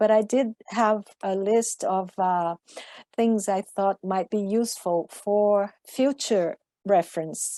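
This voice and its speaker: At a very slow pace, a woman with a non-native accent speaks at a medium pitch with fairly even intonation and a dark, mellow tone. The sound is dry and close with no echo, and the recording is very clean with a silent background. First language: not English. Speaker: IPCC author, scientist. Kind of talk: panel discussion.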